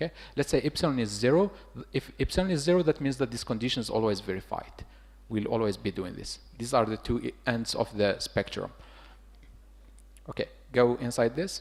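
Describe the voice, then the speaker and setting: With vocal fry, a man talks through long, frequent pauses. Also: medium pitch for a man, fairly quick pace. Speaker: lecturer teaching a tutorial. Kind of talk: hands-on tutorial.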